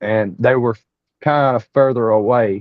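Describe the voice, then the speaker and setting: A man with an Appalachian accent speaks at a medium pitch. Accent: Southern US (Appalachian). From East Tennessee. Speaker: Bigfoot researcher. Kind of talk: interview storytelling. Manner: animated, repetitive false starts.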